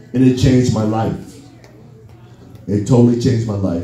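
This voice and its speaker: Audible room echo surrounds a man speaking at a moderate pace in a fairly low voice. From US Midwest, Chicago West Side, raised in Minneapolis. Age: 60s. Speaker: musician, drummer. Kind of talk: Q&A storytelling. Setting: party event with audience. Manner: animated.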